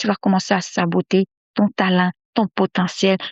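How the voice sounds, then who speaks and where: A woman's voice sits at a medium pitch. She speaks at a moderate pace. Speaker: podcast host and mindset coach. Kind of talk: motivational podcast monologue. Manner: repetitive, emphatic; soft-spoken.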